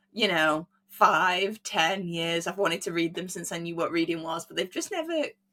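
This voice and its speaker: In an English accent, a woman speaks at a moderate pace with a fairly low pitch, a bright, sharp tone and monotone, flat intonation. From England. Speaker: podcast host. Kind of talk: casual chat.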